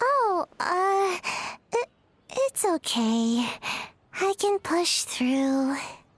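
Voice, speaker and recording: An extremely high-pitched put-on character voice at a very slow pace, with very wide pitch swings and long, frequent pauses. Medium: video game.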